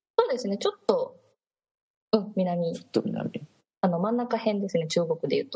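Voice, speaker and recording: A woman at a moderate pace, with long, frequent pauses and big swings in loudness. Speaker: Japanese language teacher in China. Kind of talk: casual chat.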